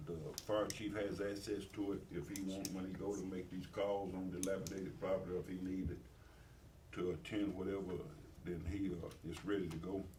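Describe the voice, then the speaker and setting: In a Tennessee accent, a man talks at a fairly quick pace with a very deep, low pitch. His intonation is monotone and flat, and there is audible room echo. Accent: US Southern (Tennessee). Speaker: mayor chairing city meeting. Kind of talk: city council meeting report. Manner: fast; halting, many fillers.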